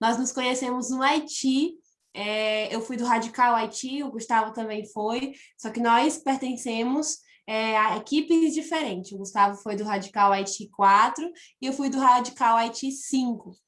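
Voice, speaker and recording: Fairly slow speech from a woman, her voice high and her pitch variation ordinary. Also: quiet background. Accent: northeastern Brazilian. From Piauí, northeastern Brazil. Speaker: missionary. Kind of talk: church testimony.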